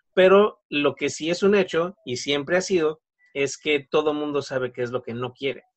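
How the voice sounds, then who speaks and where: At a moderate speed, the words come in an ordinary speaking voice. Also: man, fairly high pitch for a man, ordinary pitch variation. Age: 40s. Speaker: network marketing consultant. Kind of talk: interview.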